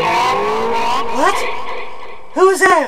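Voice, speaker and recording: A man's raised, projected voice. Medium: audio drama. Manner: nervous, excitable.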